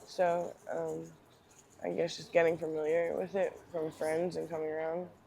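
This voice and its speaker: A woman with a Philadelphia accent speaks with big swings in loudness. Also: moderate pace. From Northeast Philadelphia. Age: 30s. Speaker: homeless person with addiction. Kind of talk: interview. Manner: hesitant, many ums.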